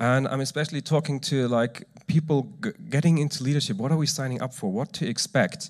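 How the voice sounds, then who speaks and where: A man with an eastern German accent at a moderate pace. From eastern Germany. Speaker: church youth speaker. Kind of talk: sermon. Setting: stage with audience.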